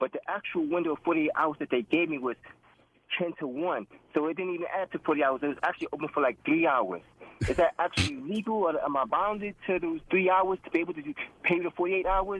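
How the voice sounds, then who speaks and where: With a New York accent, a man talks at a very fast pace in a high voice, his pitch varying in an ordinary way. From Brooklyn, New York. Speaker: caller. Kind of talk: call-in question. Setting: phone call.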